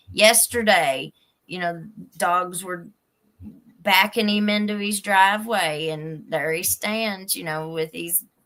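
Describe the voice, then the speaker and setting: A woman speaks with an Appalachian accent in a bright, sharp tone. Her medium pitch shows ordinary variation at a fairly slow pace. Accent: Appalachian Kentucky. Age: 40s. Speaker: youtube crime channel host. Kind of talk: live stream chat. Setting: live stream.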